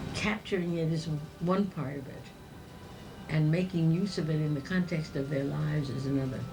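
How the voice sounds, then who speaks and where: Over noticeable background noise and audible room echo, a woman with a very deep, low voice talks at a moderate pace with ordinary pitch variation and long, frequent pauses. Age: 80s+. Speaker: alumna giving advice. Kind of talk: interview.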